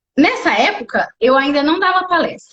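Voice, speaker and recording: With audible room echo, a woman speaks at a moderate pace in an animated tone. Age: 30s. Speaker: wheelchair triathlete and speaker. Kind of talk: casual live interview. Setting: live video stream. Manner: animated storytelling.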